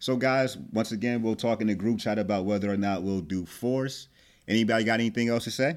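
A man with a normal speaking voice and an American accent talks at a fairly quick pace, medium in pitch with ordinary pitch variation. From New Jersey. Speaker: podcast host. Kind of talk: casual chat. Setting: remote audio call.

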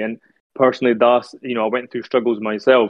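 In a Scottish accent, a man at medium pitch talks very fast with fairly even intonation. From Scotland, Edinburgh. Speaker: Sikh speaker. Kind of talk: religious talk.

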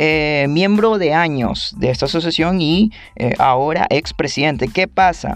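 Music plays in the background while a man speaks fairly slowly at a fairly high pitch. His loudness stays very even, and his pitch varies in an ordinary way. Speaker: podcast host. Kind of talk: casual monologue.

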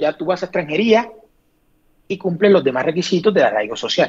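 A man is speaking. His pitch is high. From Colombia, Sincelejo. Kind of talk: casual interview.

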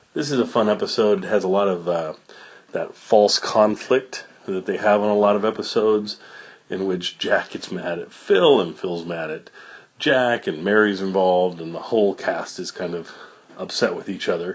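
Relaxed, fairly low male voice at a moderate pace with ordinary pitch variation. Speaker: podcast host. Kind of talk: casual podcast intro and outro, conversational. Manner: relaxed, informal, somewhat halting with fillers.

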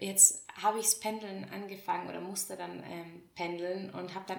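The voice has fairly even intonation against noticeable background noise. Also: woman. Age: 20s. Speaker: podcast host. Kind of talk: casual monologue.

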